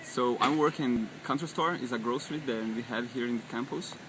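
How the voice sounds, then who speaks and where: Music plays in the background as a man speaks at a fairly slow pace. His pitch is medium and his intonation fairly even. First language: not English. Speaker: work-study student. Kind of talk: interview testimony. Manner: halting.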